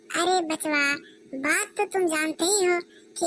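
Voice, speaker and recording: This is a squeaky, cartoonish character voice. It moves at a moderate pace. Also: woman. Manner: patronizing, condescending.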